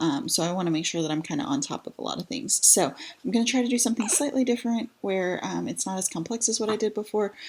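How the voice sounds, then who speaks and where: A quiet woman with an American accent rushes along at a very fast pace with hardly any pauses and lively intonation, amid noticeable background noise. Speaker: mom vlogger and virtual assistant. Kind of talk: tutorial. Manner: quiet, low-voiced; hesitant, many fillers.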